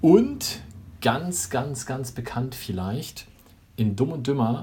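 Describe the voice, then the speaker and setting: A man speaks at a very slow pace. His voice is somewhat breathy, with a dark, mellow tone. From northern Germany. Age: 40s. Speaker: podcast co-host. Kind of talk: casual chat.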